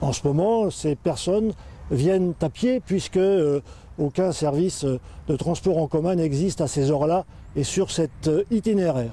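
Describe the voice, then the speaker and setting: A man with a high pitch and a dark, mellow tone speaks at a fairly slow pace, with ordinary pitch variation and very even loudness. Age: 60s. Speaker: local election candidate. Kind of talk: campaign statement. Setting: outdoors by a bridge. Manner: hesitant, frequent fillers.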